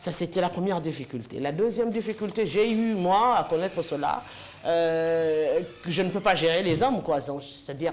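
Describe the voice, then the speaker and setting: Noticeable background noise sits behind this woman. She speaks at a moderate pace with a fairly low pitch. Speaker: sports and political TV presenter. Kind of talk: interview.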